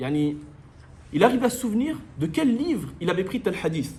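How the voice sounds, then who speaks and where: A man's fairly slow speech with very wide pitch swings and audible room echo. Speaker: Islamic religious teacher. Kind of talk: lecture.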